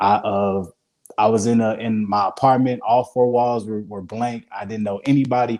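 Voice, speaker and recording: A man talks at a moderate pace. He has a Mississippi accent. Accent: Southern US, Mississippi. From US South, Hattiesburg, Mississippi. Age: 20s. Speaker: vegan chef. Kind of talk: interview. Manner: halting.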